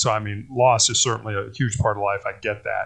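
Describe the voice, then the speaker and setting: With an American accent and vocal fry, a man talks at a moderate pace in a fairly low pitch. His intonation is fairly even, over a quiet background. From US Midwest, Chicago. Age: 60s. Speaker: cancer survivor, former college basketball player. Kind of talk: interview. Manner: halting, many false starts.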